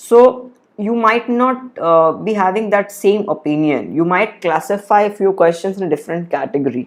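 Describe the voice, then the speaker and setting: Moderately paced speech from a man, with lively intonation. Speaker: exam prep educator. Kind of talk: live stream working session. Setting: live stream. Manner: muttering.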